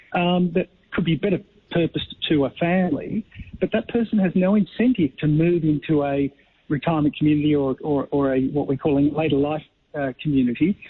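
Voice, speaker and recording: Loudness stays very even as a man talks at a fairly quick pace in an Australian accent. His pitch variation is ordinary. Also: fairly high pitch for a man. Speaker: company co-founder and director. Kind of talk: radio interview. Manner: halting with repetitions.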